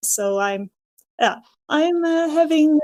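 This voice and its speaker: The speaker is a woman with a Dutch accent. She talks at a moderate pace with lively intonation. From Netherlands. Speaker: physiotherapist. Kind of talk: podcast interview. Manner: halting, many fillers.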